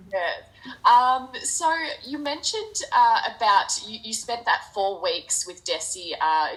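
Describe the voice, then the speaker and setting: A woman with an Australian accent speaks fairly slowly. Background noise is noticeable. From Australia, near Geelong, Victoria. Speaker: charity event host. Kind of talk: interview.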